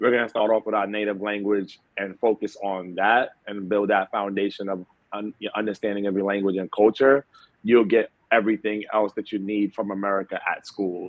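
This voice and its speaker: A man talks at a fairly low pitch and a moderate pace. His intonation is monotone and flat. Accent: New York. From New York City, the Bronx. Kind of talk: interview. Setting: at home.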